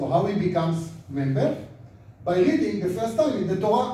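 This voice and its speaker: The man's pitch is high and his pace fairly slow. Noticeable background noise and audible room echo fill the recording. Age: 70s. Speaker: rabbi and lecturer. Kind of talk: lecture.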